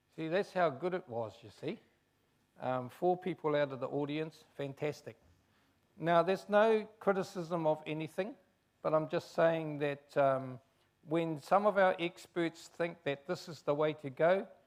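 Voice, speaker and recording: At a fairly slow pace, a man with a New Zealand accent speaks at a fairly high pitch, with ordinary pitch variation and big swings in loudness. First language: Chinese. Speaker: race relations commissioner. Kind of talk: public talk.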